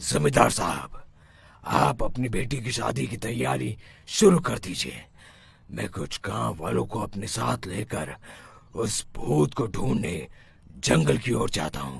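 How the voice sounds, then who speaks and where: A man's cartoonish character voice, very deep and low in pitch, with very wide pitch swings at a fairly slow pace. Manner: self-assured.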